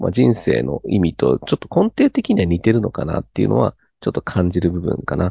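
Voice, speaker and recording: A man with vocal fry at a fairly quick pace. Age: 30s. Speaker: cram school teacher. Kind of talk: casual chat.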